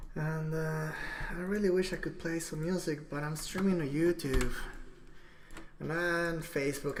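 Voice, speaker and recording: A woman with a very deep, low pitch talks at a moderate pace, with audible room echo. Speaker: livestreamer. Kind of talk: casual livestream monologue. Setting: live stream at computer.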